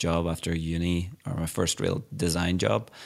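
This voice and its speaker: A man with an Irish accent, very deep, low pitch and moderate pace. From Ireland. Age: 30s. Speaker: illustrator and designer. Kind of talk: casual interview. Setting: remote call.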